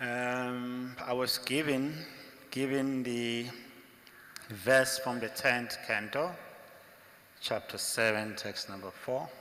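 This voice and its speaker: A man with an African accent talks at a medium pitch and a very slow pace, leaving long, frequent pauses. His intonation is fairly even, and the recording has noticeable background noise and audible room echo. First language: African language. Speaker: monk lecturer. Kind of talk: religious lecture.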